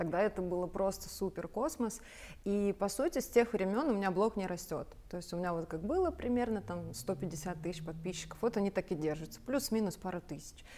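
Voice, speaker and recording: The voice has a dark, mellow tone and lively intonation. It moves along at a fairly quick pace. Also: woman, medium pitch for a woman. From Belarus, rural village. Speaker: sales mentor and entrepreneur. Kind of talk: talk show conversation.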